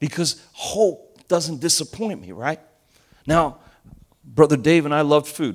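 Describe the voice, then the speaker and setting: A man with an American accent, fairly high pitch, ordinary pitch variation, vocal fry, an animated tone, big swings in loudness, a fairly slow pace and long, frequent pauses. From US Northeast (Elizabeth, New Jersey), Argentinian family. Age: 50s. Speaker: pastor. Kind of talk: sermon.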